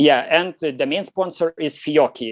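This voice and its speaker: A man with a Lithuanian accent talks at a fairly quick pace, the sound dry and close with no echo. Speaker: competition shooter. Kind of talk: interview. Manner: halting, many fillers.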